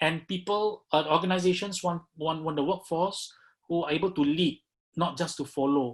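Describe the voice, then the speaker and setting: Here a man with a high pitch talks at a moderate pace, his intonation fairly even. The background is quiet. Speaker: business founder giving a talk. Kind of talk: webinar presentation.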